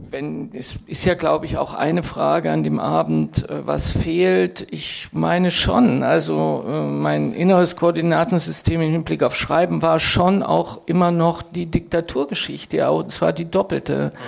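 Speech comes at a very slow pace with hardly any pauses over noticeable background noise. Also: woman. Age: 60s. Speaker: writer and professor. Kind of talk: panel discussion. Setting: stage with audience. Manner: animated.

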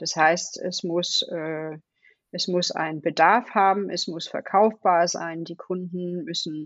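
A woman with a Danish accent speaks at a very slow pace and a fairly low pitch. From Denmark. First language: Danish (speaking German). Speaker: design leader. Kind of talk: interview. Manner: hesitant, many fillers.

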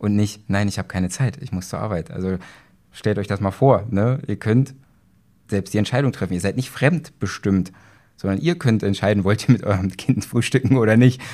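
A man with a normal speaking voice talks at a fairly low pitch and a moderate pace on a very clean recording with a silent background. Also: ordinary pitch variation. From Saxony-Anhalt, Germany (Magdeburg). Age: 30s. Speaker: police officer and trading student. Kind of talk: interview. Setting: live at a trading event venue.

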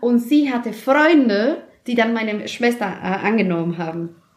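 At a fairly slow pace, a woman with a Spanish accent speaks at a fairly high pitch. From Mexico City, Mexico. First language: Spanish (speaking German). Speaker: office worker, immigrant. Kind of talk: casual interview.

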